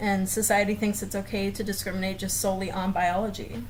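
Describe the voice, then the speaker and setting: With an American accent and a medium pitch, a woman speaks at a fairly quick pace in a monotone, flat intonation, with audible room echo around her. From US South, Florida south of Tampa. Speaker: speech pathology student. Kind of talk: class presentation video.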